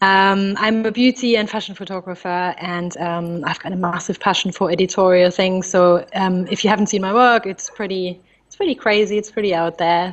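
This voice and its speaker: A woman with a German accent at medium pitch, fairly quick in pace, with fairly even intonation. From Germany, near Frankfurt. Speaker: photographer. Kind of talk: interview.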